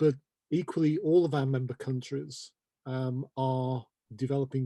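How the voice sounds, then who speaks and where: In a British accent, a man speaks at a moderate pace and medium pitch, his dark, mellow tone and fairly even intonation captured with a dry, close sound and no echo. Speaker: terminology organization representative. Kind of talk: interview. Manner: measured, explanatory.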